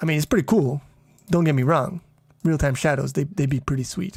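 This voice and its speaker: This man speaks at a fairly high pitch. His pitch varies in an ordinary way. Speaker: programming streamer. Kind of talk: casual live stream. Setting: home live stream at night. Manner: quieter now; loud.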